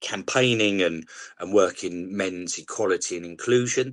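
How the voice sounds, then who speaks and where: A man with a strong South East London accent speaks at a fairly low pitch. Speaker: charity leader and campaigner. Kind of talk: podcast interview.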